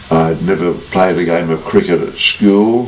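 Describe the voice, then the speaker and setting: A man with an Australian accent and fairly even intonation, amid noticeable background noise and audible room echo. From Australia, Sydney. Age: 90s. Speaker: former rugby player. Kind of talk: interview.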